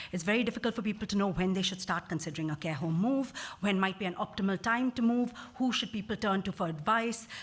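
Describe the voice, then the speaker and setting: The somewhat breathy voice moves at a very fast pace. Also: woman. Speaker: social care researcher. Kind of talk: conference talk.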